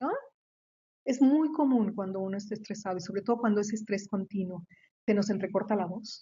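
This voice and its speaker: Her voice somewhat breathy, a woman speaks at a fairly quick pace with a fairly high pitch and ordinary pitch variation. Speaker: researcher and professor. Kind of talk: lecture. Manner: fast; halting, many repetitions.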